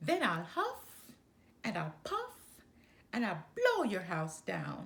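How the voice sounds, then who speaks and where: A woman puts on a growling character voice. She speaks at a very slow pace. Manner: growling, menacing.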